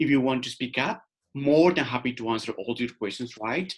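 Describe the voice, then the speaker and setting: A man speaks with a Colombian accent. His pitch sits in the medium range. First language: Spanish. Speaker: career and life coach. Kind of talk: webinar workshop presentation. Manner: informal, interactive.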